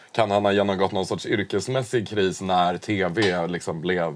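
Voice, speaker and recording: Using a plain, everyday voice, a man speaks with fairly even intonation. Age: 30s. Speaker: podcast co-host. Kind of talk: casual chat.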